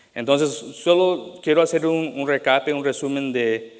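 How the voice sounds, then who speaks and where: The speaker is a man with ordinary pitch variation. He goes at a fairly slow pace. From Latin America, moved to US young. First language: English now dominant; Spanish rusty (speaking Spanish). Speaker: pastor. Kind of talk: sermon. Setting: church. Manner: halting, many fillers and restarts.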